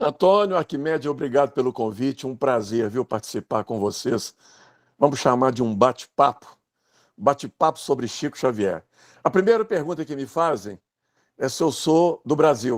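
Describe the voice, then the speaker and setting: Recorded very cleanly against a silent background with a dry, close sound and no echo, a man talks at a moderate pace and medium pitch with lively intonation. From Brazil, Minas Gerais (Pedro Leopoldo). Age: 60s. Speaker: writer and biographer. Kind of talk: casual chat.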